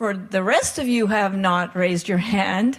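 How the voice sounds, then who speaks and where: A woman's somewhat breathy, medium-pitched voice has ordinary pitch variation and a moderate pace. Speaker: palliative care doctor and wellness coach. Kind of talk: workshop talk.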